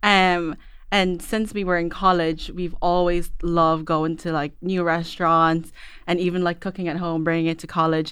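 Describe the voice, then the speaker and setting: A woman speaks with an Irish accent at a moderate pace. Her pitch is fairly low, and her intonation is monotone and flat. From Ireland, Filipino family. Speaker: food blogger. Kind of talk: casual chat. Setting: studio.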